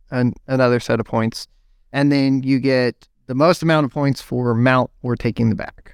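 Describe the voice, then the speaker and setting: Recorded very cleanly against a silent background, with a dry, close sound and no echo, a man with a plain, everyday voice speaks at a moderate pace and medium pitch with fairly even intonation. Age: 30s. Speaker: IT systems administrator and jiu-jitsu competitor. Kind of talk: casual interview chat.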